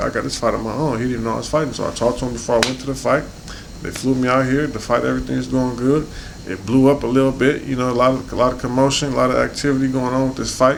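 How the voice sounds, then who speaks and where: A man talks at a very fast pace with a medium pitch. Noticeable background noise and audible room echo fill the recording. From South Central Los Angeles, US. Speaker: professional boxer. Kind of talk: interview. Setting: in-person interview in the UK. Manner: casual, conversational.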